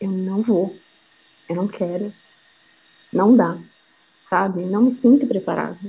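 Speaking at a fairly slow pace with long, frequent pauses, a woman has a dark, mellow tone, a medium pitch, ordinary pitch variation and a somewhat breathy quality. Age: 30s. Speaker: mother sharing personal story. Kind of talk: testimony.

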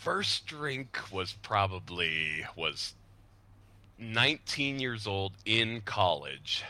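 Speaking very slowly in an American accent, a man uses lively intonation and a bright, sharp tone at a fairly low pitch. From Utah (Salt Lake City, Lehi). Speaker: podcast guest. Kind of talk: casual chat.

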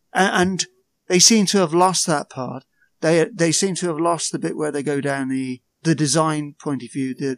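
A man with a British accent talks at a moderate pace in a fairly high voice, recorded with a dry, close sound and no echo. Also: very clean recording, silent background. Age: 40s. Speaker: podcaster.

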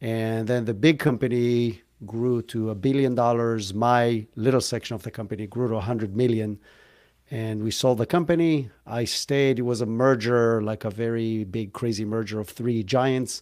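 A man with an Israeli accent at medium pitch, moderate pace, and fairly even intonation, on a very clean recording with a silent background. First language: Hebrew. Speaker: entrepreneur. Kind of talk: interview. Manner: casual, joking.

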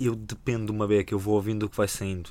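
Talking at a very fast pace, a man has a fairly low pitch. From Portugal, Rebeleira (Amadora). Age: 20s. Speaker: hip hop podcaster and history teacher. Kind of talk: casual chat.

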